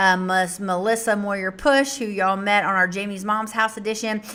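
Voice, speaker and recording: Her voice has a bright, sharp tone at a medium pitch. This woman, in an American accent, keeps a fairly even intonation. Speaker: nonprofit director hosting livestream. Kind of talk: casual livestream address. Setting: live stream. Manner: loud.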